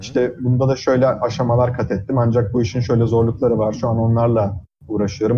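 Somewhat breathy, a man talks at a fairly quick pace in a medium pitch. His intonation stays fairly even. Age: 20s. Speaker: physics PhD student. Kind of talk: casual interview. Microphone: audio cutting out on Discord.

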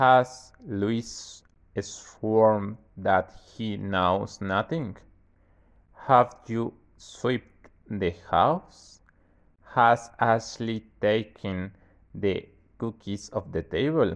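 Pauses are long and frequent. The delivery is very slow. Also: man, medium pitch for a man, ordinary pitch variation. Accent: Mexican. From Mexico. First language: Spanish. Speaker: university student. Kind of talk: tutorial. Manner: casual.

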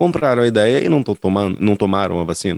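In a normal speaking voice, a man talks fairly quickly with lively intonation, recorded dry and close with no echo. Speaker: podcast co-host. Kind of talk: casual chat.

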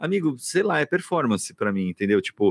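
A man's voice with very wide pitch swings, dry and close with no echo, on a very clean recording with a silent background. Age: 40s. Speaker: podcast host, theatre director and actor. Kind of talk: casual chat.

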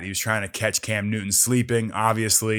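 At a moderate pace, a man with an American accent talks in a fairly low pitch. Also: very clean recording, silent background. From US Northeast, suburbs of Philadelphia. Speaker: podcast host, former football player. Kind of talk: casual solo podcast commentary.

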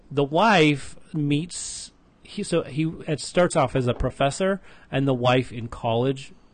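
The man's voice sits fairly high and is somewhat breathy. He speaks at a fairly slow pace. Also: ordinary pitch variation. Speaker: podcast host. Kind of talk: casual chat. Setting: recorded in Las Vegas, Henderson.

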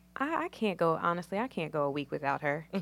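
Talking very fast with an American accent, a woman with a very deep, low pitch comes through on a very clean recording over a silent background. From Virginia, US South. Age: 20s. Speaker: guest sharing personal story. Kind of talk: testimony.

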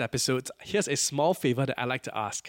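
In a very clean recording with a silent background and a dry, close sound with no echo, a man with a normal speaking voice speaks at a fairly quick pace, pitched fairly high with ordinary pitch variation. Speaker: podcast host. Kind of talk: podcast interview.

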